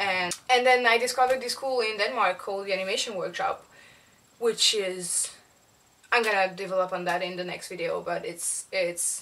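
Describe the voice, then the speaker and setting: A woman speaks in a French accent at a moderate pace and medium pitch. Her tone is bright and sharp, with ordinary pitch variation. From South of France. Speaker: animator. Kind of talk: casual vlog monologue. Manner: halting, many fillers and repetitions.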